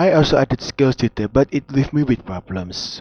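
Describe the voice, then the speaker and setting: A man with a plain, everyday voice, ordinary pitch variation and a moderate pace. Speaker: 3D modeling hobbyist. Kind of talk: tutorial-style narration. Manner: casual.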